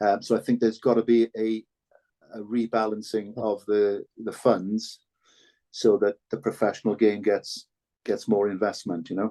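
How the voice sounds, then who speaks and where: In a Cardiff accent, a speaker with a dark, mellow tone talks in a flat monotone with long, frequent pauses, the sound dry and close with no echo. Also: man. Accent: Cardiff Welsh English. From Wales, Ely in Cardiff. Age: 60s. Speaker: former rugby player and broadcaster. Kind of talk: podcast interview. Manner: hesitant with frequent repetitions.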